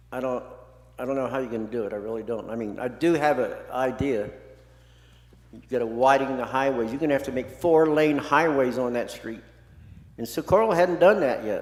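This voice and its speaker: A man with an American accent talks at a fairly quick pace in a medium pitch, with ordinary pitch variation, big swings in loudness and audible room echo. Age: 70s. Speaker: public commenter, resident. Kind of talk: public comment at city meeting. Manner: impassioned, repetitive.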